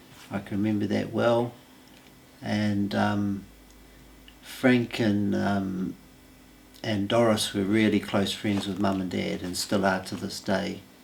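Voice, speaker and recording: A man's fairly low, monotone voice with a New Zealand accent, flat intonation, a very slow pace and long, frequent pauses. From New Zealand, Masterton. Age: 60s. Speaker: local resident. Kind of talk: interview testimony. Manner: hesitant, many fillers.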